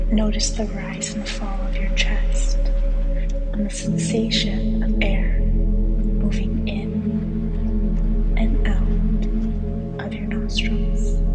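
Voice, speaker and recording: A woman whispers at a very slow pace with hardly any pauses. Music plays in the background. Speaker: meditation guide. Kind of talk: guided meditation. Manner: slow, soft-spoken.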